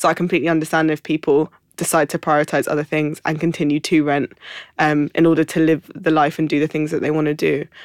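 Very fast and in a flat monotone, a woman with a very deep, low pitch is captured dry and close with no echo on a very clean recording with a silent background. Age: 20s. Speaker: publication founder. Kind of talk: casual chat.

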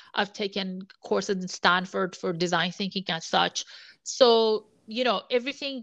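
A woman with an Iranian accent speaks at a moderate pace and medium pitch in a bright, sharp tone with ordinary pitch variation over a quiet background. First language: Persian. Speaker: sports business analytics executive. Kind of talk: interview conversation.

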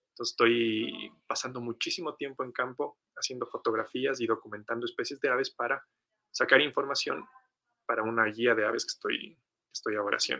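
In a dry, close sound with no echo, a man talks at a fairly quick pace. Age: 20s. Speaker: biologist and bird illustrator. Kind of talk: interview storytelling. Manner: halting, repeats words.

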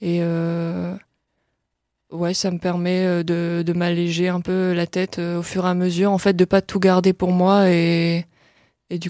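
A woman speaks very slowly in a dark, mellow tone with monotone, flat intonation. The recording is very clean, with a silent background. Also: dry, close sound with no echo. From northern France, Lille. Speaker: pop singer-songwriter. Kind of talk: interview. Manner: halting, many fillers.

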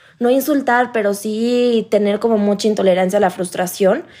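This woman's voice sits at medium pitch with fairly even intonation. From Mexico, Playa del Carmen. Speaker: course participant. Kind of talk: group conversation. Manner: soft-spoken.

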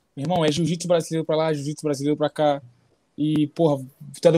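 A man talks at a very fast pace in a fairly high pitch, with a dark, mellow tone and monotone, flat intonation. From Brazil. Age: 20s. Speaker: MMA fighter. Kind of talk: casual interview chat.

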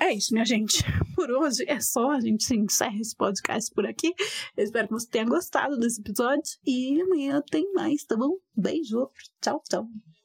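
The sound is dry and close with no echo as a woman speaks at a moderate pace in a high pitch. Her intonation is lively and her loudness very even. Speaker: economist podcast host. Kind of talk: educational monologue. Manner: animated.

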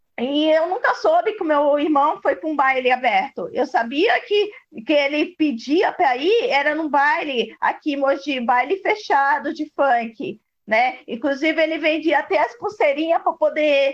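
A woman's high voice with lively intonation at a fairly slow pace. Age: 40s. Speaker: sister of a police violence victim. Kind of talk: testimony.

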